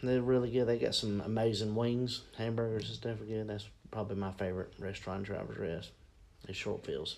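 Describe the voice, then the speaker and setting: A man with an American accent and a fairly low pitch talks at a fairly quick pace in a monotone, flat way, with audible room echo. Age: 40s. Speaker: school mascot performer and children's ministry leader. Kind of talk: casual interview.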